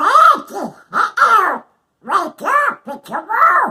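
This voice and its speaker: A put-on character voice talks in an extremely high pitch with very wide pitch swings. The pace is very slow. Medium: read story.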